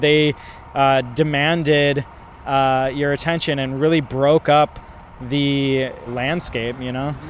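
Over noticeable background noise, a man with an American accent and a fairly high pitch speaks very slowly in a monotone, flat intonation, with long, frequent pauses. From Milwaukee, US Midwest. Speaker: artist. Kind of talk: interview. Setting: outdoors.

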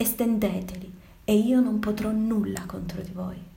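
Very slowly and with a solemn, theatrical tone, a woman speaks at a medium pitch in a dark, mellow, somewhat breathy voice with fairly even intonation. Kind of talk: dramatic monologue, Italian version of the virus text. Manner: solemn, theatrical, declamatory.

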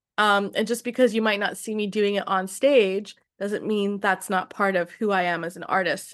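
Against a quiet background, a woman with an unremarkable speaking voice talks at a moderate pace, her medium pitch carrying fairly even intonation. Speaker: singer-songwriter. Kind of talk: casual interview chat. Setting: video call.

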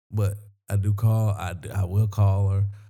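In a South Carolina accent, a man speaks at a very slow pace in a fairly low, somewhat breathy voice with a dark, mellow tone and fairly even intonation. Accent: Southern US (South Carolina). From US South, Sumter, South Carolina. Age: 30s. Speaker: comedian. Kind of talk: casual chat.

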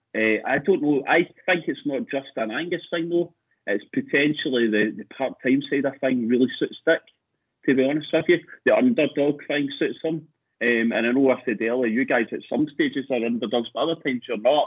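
Speaking with a Scottish accent, a man keeps a moderate pace. His pitch is fairly high, with ordinary pitch variation. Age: 40s. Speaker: football fan. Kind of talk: casual chat.

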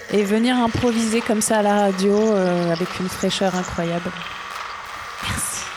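Against noticeable background noise, a woman speaks at a fairly slow pace with long, frequent pauses. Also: medium pitch for a woman, fairly even intonation. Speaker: radio host. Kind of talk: live radio hosting, improvised.

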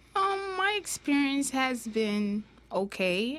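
A woman with a Jamaican accent. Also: very clean recording, silent background. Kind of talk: interview.

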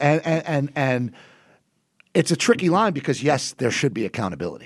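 This man talks at a moderate pace in an American accent, his fairly high voice showing vocal fry and very wide pitch swings, with a dry, close sound and no echo. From New Jersey. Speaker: copy editor. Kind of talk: casual chat.

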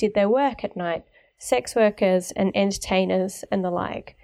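In a very clean recording with a silent background, a woman with an Australian accent has a dark, mellow tone, ordinary pitch variation and a moderate pace. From Melbourne, Australia. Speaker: guest podcast host, urban researcher. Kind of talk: interview.

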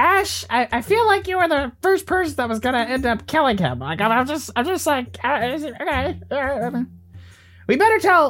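Someone puts on a high-pitched character voice. The pace is moderate. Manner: dismissive, exasperated.

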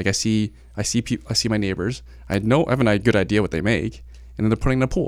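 Very fast speech with vocal fry and ordinary pitch variation, in a very clean recording against a silent background. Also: man, fairly low pitch for a man. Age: 30s. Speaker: real estate investor and agent. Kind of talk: casual interview.

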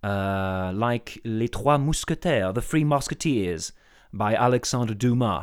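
A man's medium-pitched voice at a fairly slow pace, on a very clean recording with a silent background. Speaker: podcast co-host presenting trivia. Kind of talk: prepared trivia segment. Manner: halting.

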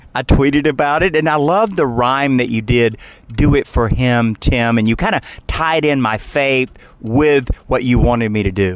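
A man with an American accent, an unremarkable speaking voice, ordinary pitch variation and a moderate pace. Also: medium pitch for a man. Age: 60s. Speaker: radio host and energy regulator. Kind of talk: casual interview. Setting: in a car.

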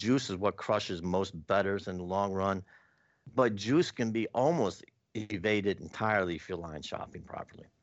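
A man with an American accent, very deep and low in pitch, at a moderate pace with ordinary pitch variation. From US. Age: 60s. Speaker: professional sports bettor and author. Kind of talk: interview.

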